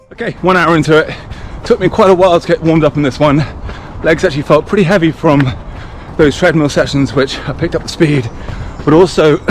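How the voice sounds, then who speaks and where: A man with an English accent, amid noticeable background noise. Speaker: running vlogger. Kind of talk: vlog. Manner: casual, fast recap.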